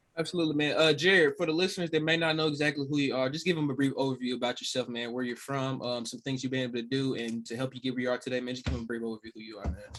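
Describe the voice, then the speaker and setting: A man's medium-pitched voice with an American accent, ordinary pitch variation, a very fast pace and hardly any pauses, amid noticeable background noise. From US South, Little Rock, Arkansas. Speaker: podcast host. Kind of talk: interview.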